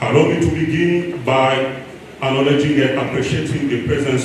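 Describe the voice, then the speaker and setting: A man's medium-pitched voice at a moderate pace, fairly even intonation, with audible room echo and noticeable background noise. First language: French. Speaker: regional coordinator of an NGO. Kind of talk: speech reading. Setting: conference room with audience. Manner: formal.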